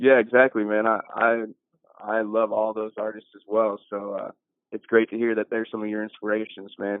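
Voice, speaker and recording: A man's fairly low voice with a Midwestern US accent, monotone and flat, at a moderate pace. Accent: US Midwest. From Iowa, US Midwest. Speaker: podcast host. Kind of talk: podcast interview.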